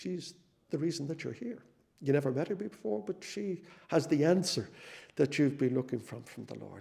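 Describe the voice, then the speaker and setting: At a moderate pace, a man with a fairly high pitch, a dark, mellow tone and vocal fry speaks with ordinary pitch variation. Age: 60s. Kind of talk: testimony. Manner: halting, frequent repetitions.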